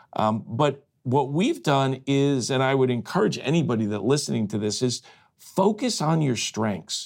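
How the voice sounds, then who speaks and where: A plain, everyday voice from a man at medium pitch and moderate pace, on a very clean recording with a silent background. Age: 60s. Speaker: franchise company executive. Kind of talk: casual interview. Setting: studio.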